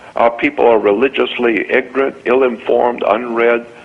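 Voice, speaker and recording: A man with an American accent speaks at medium pitch. Noticeable background noise can be heard. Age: 70s. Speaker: radio show guest, conspiracy lecturer. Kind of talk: impassioned rant on a radio show. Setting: radio show.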